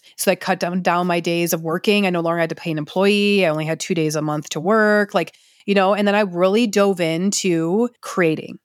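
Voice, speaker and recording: This woman has a plain, everyday voice with an American accent, medium pitch and fairly even intonation. She speaks at a fairly quick pace with hardly any pauses, in a very clean recording with a silent background. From US Midwest, Detroit area, Michigan. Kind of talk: casual monologue. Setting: at home on a couch.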